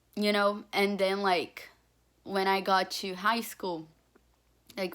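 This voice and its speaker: A woman with a Portuguese accent, medium-pitched and moderately paced, in a very clean recording over a silent background. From Brazil. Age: young. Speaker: student applicant. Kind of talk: application video testimony. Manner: filler-heavy, informal.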